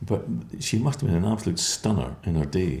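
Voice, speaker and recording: This man's voice is very deep and low, with a dark, mellow tone. He sounds somewhat breathy and talks at a fairly quick pace. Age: 60s. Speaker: care home company founder. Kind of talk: interview. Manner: halting.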